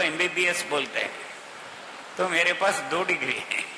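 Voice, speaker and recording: The room echo is audible as a man speaks. Background noise is also noticeable. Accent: Kannada. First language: Kannada (speaking Hindi). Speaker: senior organization worker. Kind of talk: speech.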